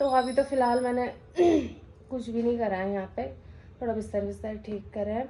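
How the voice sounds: A woman's fairly high, dark, mellow voice at a moderate pace, with fairly even intonation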